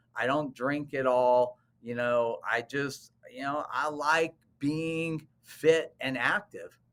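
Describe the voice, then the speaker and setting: Speaking at a very slow pace, a man uses a fairly high pitch and fairly even intonation. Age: 60s. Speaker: cosmetic dentist. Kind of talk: interview.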